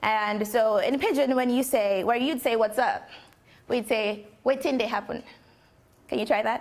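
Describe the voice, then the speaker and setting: A woman's fairly high voice at a moderate pace, with ordinary pitch variation, long, frequent pauses, and noticeable background noise. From Nigeria. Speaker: poet and musician. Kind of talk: talk to an audience.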